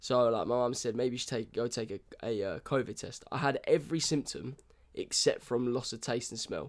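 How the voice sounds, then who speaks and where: A man with a British accent, medium in pitch, fairly quick, with ordinary pitch variation. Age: 20s. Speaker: podcast co-host. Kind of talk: casual chat.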